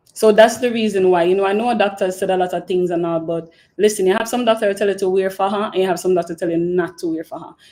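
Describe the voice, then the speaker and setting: With a Jamaican accent, a woman talks at a very fast pace in a dark, mellow tone, her pitch varying in an ordinary way. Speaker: podcast host. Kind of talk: live stream Q&A chat. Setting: live stream. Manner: casual, filler-heavy.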